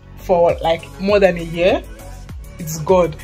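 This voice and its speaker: Faint music plays in the background. A woman is speaking. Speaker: student vlogger. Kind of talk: casual vlog chat. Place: home room. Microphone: phone near.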